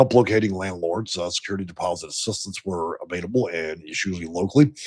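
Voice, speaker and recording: The recording is very clean, its background silent. A man speaks very fast with lively intonation. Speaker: housing assistance consultant. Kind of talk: live stream explainer.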